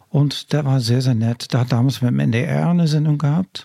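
With a Dutch accent, a man speaks in a medium-pitched, somewhat breathy voice with a dark, mellow tone. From Netherlands, coastal region. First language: Dutch (speaking German). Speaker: singer-songwriter and music professor. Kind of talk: interview. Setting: office.

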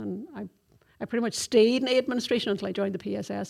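A woman speaks with vocal fry in a very clean recording against a silent background. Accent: Donegal. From Donegal, Ireland. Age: 50s. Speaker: army corporal. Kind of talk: interview.

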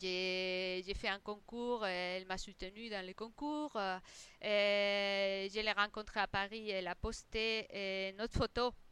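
Speaking very slowly in a Spanish accent, a woman has a medium pitch, a bright, sharp tone and fairly even intonation. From Spain. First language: Spanish (speaking French). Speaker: interior designer. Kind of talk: interview. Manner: halting, many repetitions.

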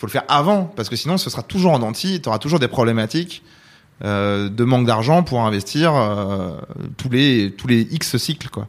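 A man is speaking at a medium pitch. His intonation is lively. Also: moderate pace. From France, Versailles area. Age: 30s. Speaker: video game company founder. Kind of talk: interview. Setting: in person at his company's office. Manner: hesitant, many fillers.

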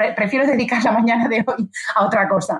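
A woman's somewhat breathy voice at a fairly high pitch and moderate pace. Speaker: business executive and author. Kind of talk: interview. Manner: animated.

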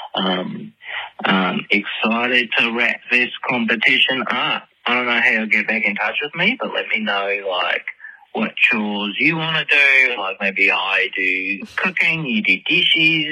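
Very wide pitch swings mark this fairly slow delivery, heard through noticeable background noise. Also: man, medium pitch for a man. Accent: American. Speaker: caller leaving voicemail messages for a podcast. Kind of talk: casual, chatty. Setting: phone voicemail.

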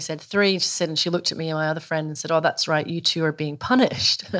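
A woman with a Scottish accent and a fairly low pitch, in a very clean recording with a silent background. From Scotland. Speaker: journalist and author. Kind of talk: casual chat. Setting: in the host's kitchen.

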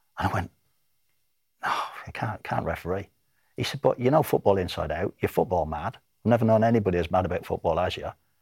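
Speaking at a very fast pace yet with long, frequent pauses, a man has a somewhat breathy, fairly low voice with ordinary pitch variation, recorded with a dry, close sound with no echo. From Ireland. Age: 60s. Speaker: retired football referee. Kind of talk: interview.

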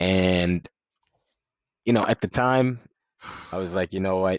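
A man with an American accent talks at a moderate pace. The sound is dry and close with no echo, over a quiet background. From Sierra Leone, then New York (Westchester) from 2002. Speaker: former college track athlete. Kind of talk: interview.

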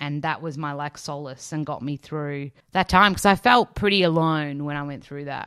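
A woman with an Australian accent speaks at a moderate pace in a very deep, low pitch, with ordinary pitch variation. Her loudness swings widely, and she hardly pauses. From Australia, Melbourne. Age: 30s. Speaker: nutritionist and author. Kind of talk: interview. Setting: remote recording during lockdown. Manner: animated.

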